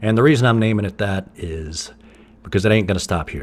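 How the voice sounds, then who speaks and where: The speaker is a man with an American accent. He keeps his intonation fairly even. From US South, East Tennessee. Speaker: podcast host and musician. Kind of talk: casual monologue. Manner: conversational, with fillers and restarts.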